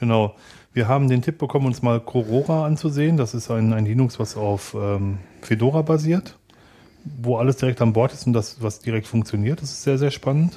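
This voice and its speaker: An ordinary speaking voice from a man, fairly quick in pace, medium in pitch, with ordinary pitch variation. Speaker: podcast co-host. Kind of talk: casual chat.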